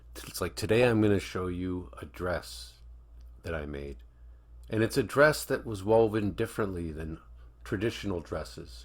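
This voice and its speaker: At a moderate pace and with long, frequent pauses, a somewhat breathy voice swings very widely in pitch over a very clean recording with a silent background. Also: man. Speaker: reaction video commentator. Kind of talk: casual reaction commentary.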